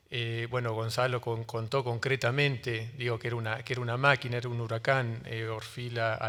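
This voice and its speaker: A man in a Rioplatense accent, medium in pitch, monotone and flat in intonation, at a fairly quick pace, on a very clean recording with a silent background. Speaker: book publisher on a panel. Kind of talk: panel talk. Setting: book fair panel with audience. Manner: fast; hesitant, many fillers.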